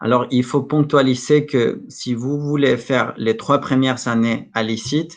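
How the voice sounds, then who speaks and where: A man with a Mexican accent talks at a fairly slow pace, hardly pausing, his intonation fairly even. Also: medium pitch for a man, big swings in loudness. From Mexico. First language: Spanish (speaking French). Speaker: school representative presenting study programs. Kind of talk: Q&A at an online conference. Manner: halting, many hesitations and repetitions.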